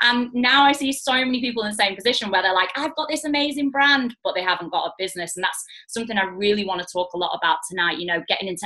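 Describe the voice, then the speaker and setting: A woman with a Mancunian accent speaks very fast, her tone bright and sharp and her intonation lively. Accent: Mancunian, noticeable. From northern England, Manchester. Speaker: network marketing business owner. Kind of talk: online training talk. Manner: casual, many fillers.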